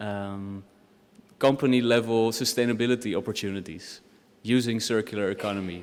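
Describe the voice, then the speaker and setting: At a fairly quick pace, a man with a Dutch accent talks in a fairly low voice with fairly even intonation. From Netherlands. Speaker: doctoral researcher. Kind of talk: academic presentation.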